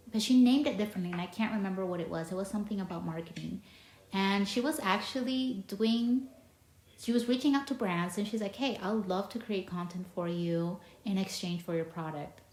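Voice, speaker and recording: A woman speaks fairly quickly, her pitch varying in an ordinary way, with noticeable background noise present. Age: 30s. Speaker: podcast host. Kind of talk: casual interview chat. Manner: halting, many false starts.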